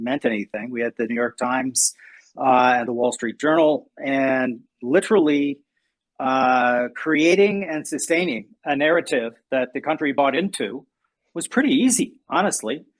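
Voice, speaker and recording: Against a quiet background, a man with an American accent and an unremarkable speaking voice talks at a moderate pace, his fairly high pitch showing ordinary variation. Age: 60s. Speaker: podcast host. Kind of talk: casual chat. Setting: live audio chat room.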